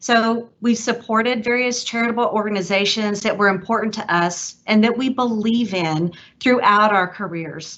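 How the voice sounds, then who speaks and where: A woman's fairly high voice in a Texas accent at a moderate pace, with fairly even intonation and hardly any pauses. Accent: Texas twang. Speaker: donor. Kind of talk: prepared speech.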